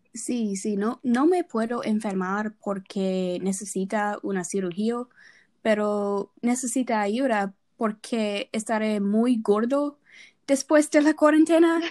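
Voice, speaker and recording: A woman at a fairly high pitch, very slow yet with lively intonation, on a very clean recording with a silent background and a dry, close sound with no echo. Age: 20s. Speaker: nursing student. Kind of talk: casual chat. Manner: halting.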